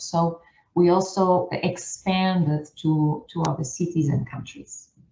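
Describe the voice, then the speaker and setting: A somewhat breathy woman at a fairly low pitch and fairly slow pace, with a Portuguese accent. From northern Portugal, rural. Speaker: scientist and outreach organiser. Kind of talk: seminar presentation.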